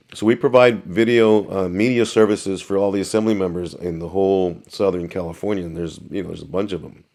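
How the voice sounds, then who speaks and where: A man's fairly low voice at a fairly quick pace with fairly even intonation, an unremarkable speaking voice, on a very clean recording with a silent background. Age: 60s. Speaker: news cameraman. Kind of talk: casual chat.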